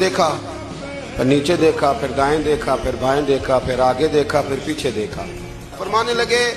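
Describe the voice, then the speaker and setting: A man speaks with lively intonation as music plays in the background. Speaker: Islamic preacher giving a sermon. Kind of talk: religious sermon (bayan) telling an anecdote.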